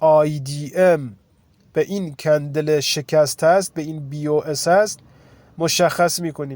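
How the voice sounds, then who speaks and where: The man speaks at a very slow pace with a fairly high pitch and fairly even intonation. The recording is very clean, with a silent background. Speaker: trading instructor. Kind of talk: tutorial.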